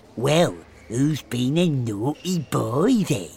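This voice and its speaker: A put-on character voice growls at a very slow pace. Its pitch swings very widely. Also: man, medium pitch for a man. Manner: growling, taunting.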